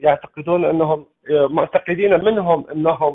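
A man speaks at a fairly slow pace with a high pitch and fairly even intonation. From Iraq. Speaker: caller. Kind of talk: phone-in call.

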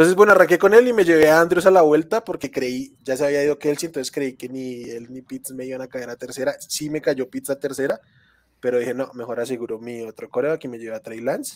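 Talking at a very fast pace, this man has a fairly high pitch. His pitch variation is ordinary. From Colombia. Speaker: fantasy football analyst. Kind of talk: casual chat. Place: home room. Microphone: headset.

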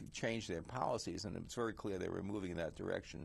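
A man with an American accent speaks with vocal fry. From New York City (Queens). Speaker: writers union president and investigative journalist. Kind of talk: interview conversation.

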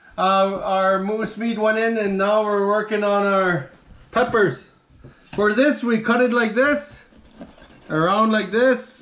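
A man's high-pitched, bright, sharp tone at a very slow pace with ordinary pitch variation. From Meander River, Alberta, Canada. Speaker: outdoorsman, hunting and cooking video host. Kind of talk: casual cooking tutorial to camera. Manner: casual, hesitant. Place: kitchen. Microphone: camera far.

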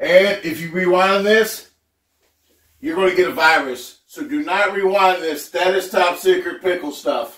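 A man with a high pitch and ordinary pitch variation speaks at a fairly slow pace, with audible room echo and light background noise. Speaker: home cooking vlogger. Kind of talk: casual vlog chat. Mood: joking, relaxed. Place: kitchen.

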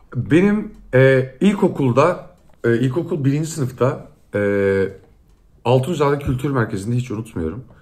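Over a quiet background, a somewhat breathy man speaks with very wide pitch swings and long, frequent pauses. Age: 30s. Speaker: singer and actor; actor. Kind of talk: casual interview. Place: home room. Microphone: video call.

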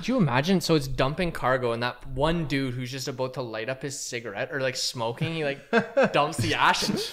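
A man in a Canadian accent, fairly quick and with hardly any pauses, with ordinary pitch variation. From Canada. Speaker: podcast co-host. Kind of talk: casual chat. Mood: relaxed, joking. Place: home room. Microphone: studio mic.

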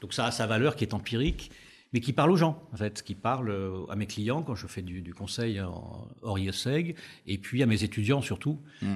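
A man's somewhat breathy voice at a medium pitch, with lively intonation and a moderate pace. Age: 60s. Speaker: business school professor and former HR director. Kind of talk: interview. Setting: on a campus in Paris La Défense.

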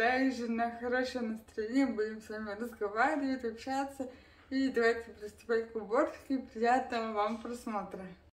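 A woman speaks at a moderate pace with a fairly high pitch. Her intonation is monotone and flat, and there is audible room echo. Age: 30s. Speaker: cleaning vlogger. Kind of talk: casual voiceover for cleaning vlog. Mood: cheerful, friendly. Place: home room. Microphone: phone near.

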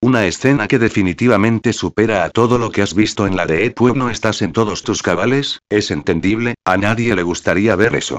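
A man with a fairly low pitch speaks in a dramatic tone at a fairly quick pace, with ordinary pitch variation, hardly any pauses and a quiet background. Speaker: creepypasta narrator. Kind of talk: ghost story narration. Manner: second-person storytelling, dramatic.

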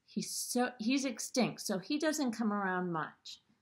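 The intonation rises and falls in a lively way. It comes from a natural reading voice.

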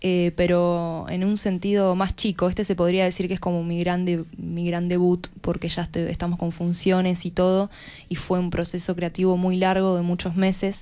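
Speaking at a moderate pace with hardly any pauses, a woman uses a fairly low, dark, mellow voice with monotone, flat intonation. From Argentina, Chubut. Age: 20s. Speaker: actress. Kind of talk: radio interview. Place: studio. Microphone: studio mic.

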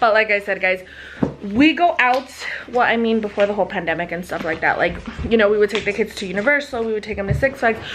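A woman talks very fast with ordinary pitch variation over noticeable background noise. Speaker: parent vlogger. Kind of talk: casual vlog chat. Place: home room. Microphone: phone near.

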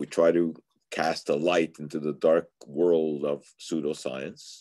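A man talks at a very slow pace with a very deep, low pitch. His tone is dark and mellow, and his intonation is flat and monotone. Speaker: science communicator giving a public lecture. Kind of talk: lecture. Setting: livestream.

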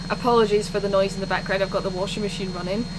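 There is noticeable background noise. A woman is speaking. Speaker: narrowboat vlogger. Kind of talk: casual vlog chat. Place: boat. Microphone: camera far.

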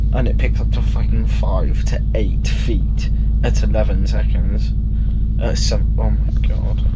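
Loud background noise surrounds a man who talks fairly slowly. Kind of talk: casual vlog chat. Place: boat. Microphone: phone near.

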